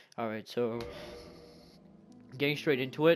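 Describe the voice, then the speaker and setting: Male voice at a fairly quick pace, with music in the background. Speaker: gaming YouTuber. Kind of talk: gameplay tutorial. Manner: halting.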